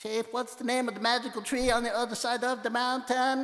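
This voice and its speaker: In a put-on character voice, a man speaks at a fairly quick pace with an extremely high pitch and monotone, flat intonation. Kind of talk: read story. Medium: read story. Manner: small, stammering.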